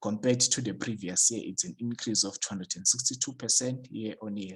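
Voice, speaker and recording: A man's fairly low voice, with ordinary pitch variation, comes through as a dry, close sound with no echo. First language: not English. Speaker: stock market YouTuber. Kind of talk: tutorial. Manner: hesitant, many fillers.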